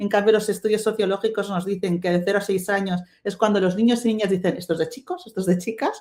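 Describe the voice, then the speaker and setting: Very fast speech in a Catalan accent with hardly any pauses. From Spain, Catalonia. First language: Catalan (speaking Spanish). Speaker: webinar panelist, STEM diversity advocate. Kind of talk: webinar panel talk. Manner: halting, many fillers and restarts.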